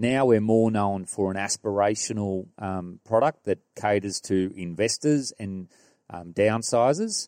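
With an Australian accent and a dark, mellow tone, the voice moves at a fairly slow pace with ordinary pitch variation, in a very clean recording with a silent background and a dry, close sound with no echo. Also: man, fairly low pitch for a man. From rural New South Wales, Australia. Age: 40s. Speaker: property developer. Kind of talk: casual interview. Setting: property display suite.

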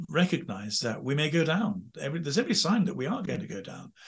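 A man's voice with vocal fry and very wide pitch swings against a quiet background. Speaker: former priest and royal chaplain. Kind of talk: interview. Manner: halting.

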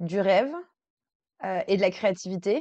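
A woman speaks at a medium pitch. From France, Versailles. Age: 30s. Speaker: integrative coach. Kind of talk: interview. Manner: hesitant, many fillers.

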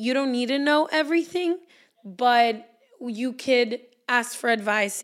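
Speaking at a fairly slow pace with long, frequent pauses, a woman uses a high pitch with ordinary pitch variation. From Mexico (Guadalajara). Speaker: podcaster and media entrepreneur. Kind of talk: interview conversation.

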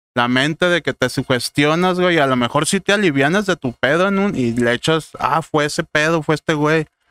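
Recorded very cleanly against a silent background, a man with an unremarkable speaking voice and a fairly high pitch talks at a moderate pace with hardly any pauses, very even loudness and ordinary pitch variation, the sound dry and close with no echo. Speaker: podcast guest. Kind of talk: casual chat.

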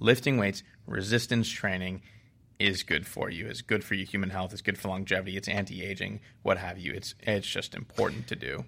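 Here a man with an American accent has a bright, sharp tone. He speaks at a fairly quick pace with ordinary pitch variation. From Boston, Massachusetts. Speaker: strength coach and sports scientist. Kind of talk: interview. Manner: hesitant, many fillers.

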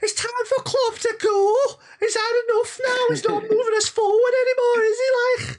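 A put-on character voice with a Liverpool accent, squeaky and extremely high-pitched, delivers monotone, flat intonation at a moderate pace. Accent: Scouse. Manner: impatient, grumbling.

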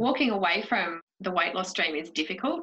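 Woman with an Australian accent, medium pitch and ordinary pitch variation, at a fairly quick pace. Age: 40s. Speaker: podcast host. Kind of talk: casual chat; scripted narration. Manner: animated.

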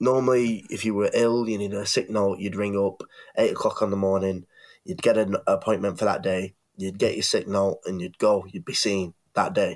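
A man speaks with a northern English accent at a moderate pace. The recording is very clean, with a silent background. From northwest England. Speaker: podcast co-host. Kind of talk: casual debate chat. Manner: hesitant, many fillers.

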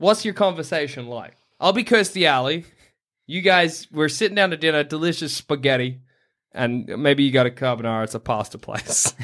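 A man talks at a fairly quick pace with an Australian accent and lively intonation. The recording is very clean, with a silent background. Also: fairly high pitch for a man. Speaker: podcast host. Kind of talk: casual comedic chat.

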